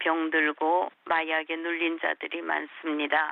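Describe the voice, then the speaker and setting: This woman's voice is fairly low. She speaks very slowly. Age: 70s. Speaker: missionary. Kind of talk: interview.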